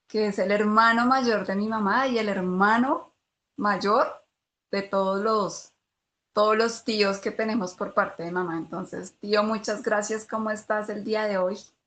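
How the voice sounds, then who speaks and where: Against a quiet background, a woman with an unremarkable speaking voice talks at a fairly slow pace, at a fairly high pitch and with fairly even intonation. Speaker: podcast host. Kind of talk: podcast host introduction.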